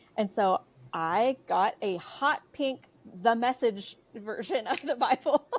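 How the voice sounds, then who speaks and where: Speaking at a very slow pace, a woman with a fairly high pitch uses lively intonation, recorded in a dry, close sound with no echo. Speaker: writer and editor, podcast guest. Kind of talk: casual chat. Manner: hesitant, many fillers.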